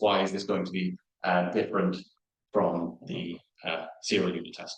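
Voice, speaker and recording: Ordinary pitch variation from a male speaker. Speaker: research software engineer, conference speaker. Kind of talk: conference talk with live coding demo. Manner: fast; hesitant, many fillers.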